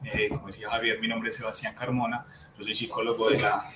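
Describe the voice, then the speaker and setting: Music can be heard behind the speech. The speaker is a man whose pitch varies normally. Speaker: psychologist. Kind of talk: webinar talk. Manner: fast.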